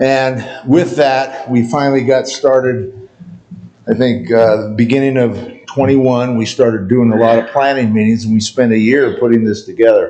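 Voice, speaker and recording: A man speaks at a moderate pace with very even loudness and fairly even intonation. Noticeable background noise runs underneath. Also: medium pitch for a man. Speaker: county emergency manager. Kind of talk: presentation to town board. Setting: town board meeting. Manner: casual, conversational.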